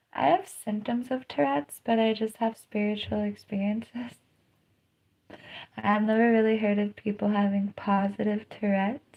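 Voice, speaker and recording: A woman's voice sits at a fairly high pitch and sounds somewhat breathy. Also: ordinary pitch variation, moderate pace. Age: 30s. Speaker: live streamer and DJ. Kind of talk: casual livestream monologue. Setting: livestream. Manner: vocal tics, squeals.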